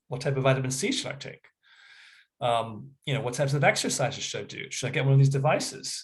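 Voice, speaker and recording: A somewhat breathy, fairly high male voice at a fairly quick pace, with ordinary pitch variation. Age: 60s. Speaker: health practitioner. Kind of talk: educational talk. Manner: casual, halting with filler words.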